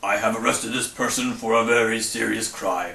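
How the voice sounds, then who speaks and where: A man puts on a character voice, pitched in the middle range and delivered at an unhurried, moderate speed. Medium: read story. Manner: gloomy.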